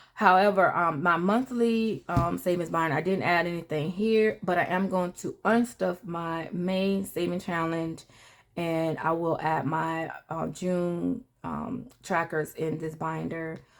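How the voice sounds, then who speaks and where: A plain, everyday voice from a woman, fairly low in pitch with ordinary pitch variation, a fairly slow pace and hardly any pauses, in a very clean recording with a silent background. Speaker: personal finance vlogger. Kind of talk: casual vlog talk.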